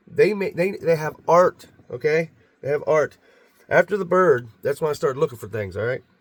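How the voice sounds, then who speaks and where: Here a man speaks at a fairly high pitch with lively intonation. His voice carries vocal fry. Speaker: video blogger about Bigfoot encounters. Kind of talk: casual monologue to camera. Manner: fast; halting, many repetitions.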